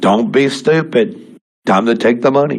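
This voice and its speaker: A man's put-on character voice at medium pitch, with lively intonation and a moderate pace. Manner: stern, barking commands.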